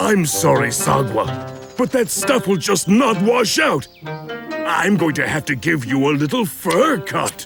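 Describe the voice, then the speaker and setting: A man's cartoonish character voice, fairly high-pitched, swinging very widely in pitch at a fairly slow pace, with clear music in the background. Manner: genial, fussy.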